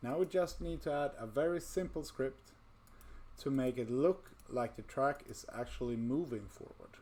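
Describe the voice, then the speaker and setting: The speaker has a non-native accent and keeps a moderate pace. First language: not English. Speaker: VR game development tutor. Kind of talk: tutorial. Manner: casual, with fillers.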